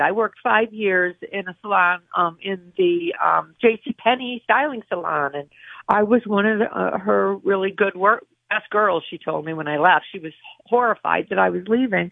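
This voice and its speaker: A woman speaks with very wide pitch swings. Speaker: barber shop owner. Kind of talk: casual radio interview.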